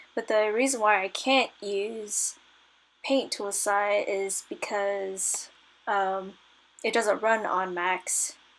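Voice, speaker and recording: Quiet and very slow, a woman speaks at a medium pitch with fairly even intonation. Her tone is nervous and tired. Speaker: digital artist. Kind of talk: casual voice-over narration while drawing. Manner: nervous, hesitant; tired, quiet.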